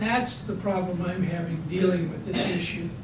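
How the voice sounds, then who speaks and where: At a moderate pace, a man talks with audible room echo and noticeable background noise around him. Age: 60s. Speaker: insurance agent. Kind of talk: panel presentation. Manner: conversational.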